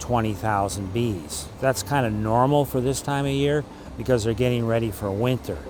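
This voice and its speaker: With music in the background and audible room echo, a man speaks at a moderate pace in a medium pitch with lively intonation. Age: 60s. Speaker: beekeeper. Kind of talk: documentary interview.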